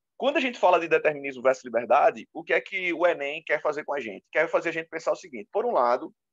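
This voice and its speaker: Lively intonation carries the very fast delivery. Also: man. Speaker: teacher. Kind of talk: lecture.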